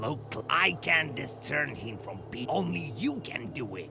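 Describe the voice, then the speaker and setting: A man's growling, put-on character voice at a medium pitch and a fairly slow pace, over loud background noise. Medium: video game. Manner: growling, cryptic.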